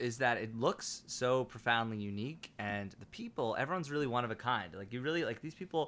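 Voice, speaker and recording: A man with an American accent in a normal speaking voice, medium-pitched and lively, fairly quick with hardly any pauses. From New York City, Upper West Side. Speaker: city council candidate. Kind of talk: casual chat. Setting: host's apartment.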